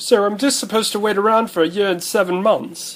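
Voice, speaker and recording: A man performs a put-on character voice in a high pitch. He speaks at a very fast pace. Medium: machinima. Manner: polite, dry.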